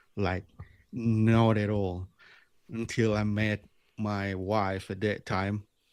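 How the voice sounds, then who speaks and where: A man's fairly low voice at a very slow pace, fairly even in intonation, on a very clean recording with a silent background. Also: long, frequent pauses. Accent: Indonesian. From Bali, Indonesia. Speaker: lure maker. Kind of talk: interview. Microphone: new microphone.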